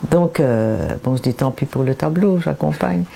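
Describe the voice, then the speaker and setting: Noticeable background noise accompanies a woman speaking. She talks at a fairly slow pace with lively intonation. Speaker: painter. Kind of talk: interview. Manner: halting, many repetitions and hesitations.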